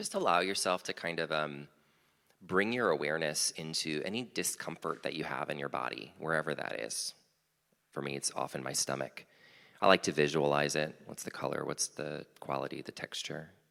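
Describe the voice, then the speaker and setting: A man's very deep, low pitch with vocal fry, a bright, sharp tone and ordinary pitch variation. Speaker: small group leader. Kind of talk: guided meditation intro in worship service. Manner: fast.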